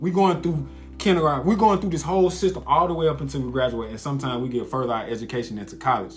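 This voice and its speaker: A man at a very fast pace with very wide pitch swings, audible room echo and music in the background. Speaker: podcast host. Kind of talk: casual chat.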